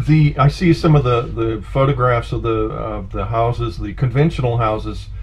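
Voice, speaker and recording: The speaker keeps a moderate pace. Music plays in the background. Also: man. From San Francisco. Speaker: podcast host. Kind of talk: interview. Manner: halting.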